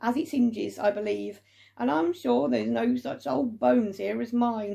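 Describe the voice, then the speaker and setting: A woman puts on a raspy character voice at a medium pitch and moderate pace, with very wide pitch swings. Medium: read story. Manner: sly, chuckling.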